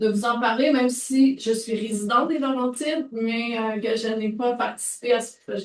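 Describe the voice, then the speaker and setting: At a moderate pace and with hardly any pauses, a woman speaks with a fairly high pitch and fairly even intonation. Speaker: audience member, coordinator of a circular economy network. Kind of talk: conference question from audience. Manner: speaking loudly.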